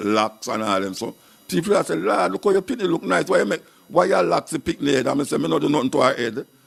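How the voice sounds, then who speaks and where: Talking at a very fast pace in a Jamaican accent, a man keeps a medium pitch that makes very wide swings. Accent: Jamaican Patois. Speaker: dub poet and radio presenter. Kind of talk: interview answer.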